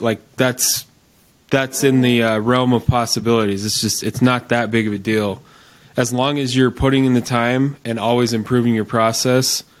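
At a moderate pace, a man with a plain, everyday voice keeps a medium pitch and fairly even intonation. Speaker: podcast host. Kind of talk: casual interview.

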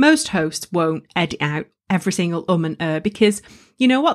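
In a northern English accent, a woman talks at a fairly quick pace with lively intonation on a very clean recording with a silent background. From northern England. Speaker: podcast host and coach. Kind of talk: solo tutorial podcast. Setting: studio. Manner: energetic.

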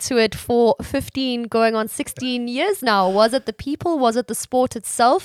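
Recorded very cleanly against a silent background, a woman with a plain, everyday voice speaks at a fairly high pitch. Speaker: podcast interviewer. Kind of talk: interview.

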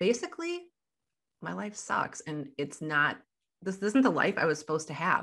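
Against a quiet background, a woman with a Midwestern American accent speaks in a fairly low voice with a bright, sharp tone. Her intonation is lively, with long, frequent pauses. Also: moderate pace. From US Midwest. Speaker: life coach. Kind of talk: interview.

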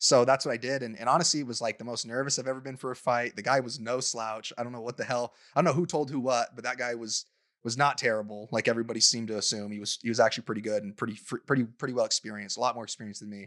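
Speaking very fast with fairly even intonation and big swings in loudness, a man with an American accent uses a medium pitch, in a very clean, dry, close recording with a silent background and no echo. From Utah. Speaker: professional fighter. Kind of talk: casual chat. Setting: studio.

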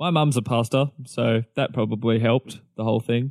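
In an Australian accent, a man speaks at a fairly slow pace. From Melbourne, Australia. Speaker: pastor. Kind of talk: casual chat.

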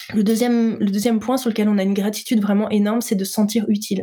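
A woman speaks very fast in a monotone, flat delivery, her dark, mellow tone somewhat breathy. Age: 30s. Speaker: entrepreneur in healthy eating coaching. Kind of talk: interview conversation.

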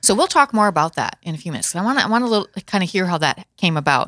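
The tone is bright and sharp, the pace very fast, with very wide pitch swings. The sound is dry and close, with no echo. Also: woman, very clean recording, silent background. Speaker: talk show host. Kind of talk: interview. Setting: studio.

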